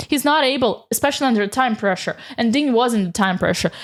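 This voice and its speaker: In a very clean recording with a silent background, a woman with a high pitch speaks at a fairly quick pace in an animated tone with lively intonation. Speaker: chess commentator. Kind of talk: game recap commentary. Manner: fast.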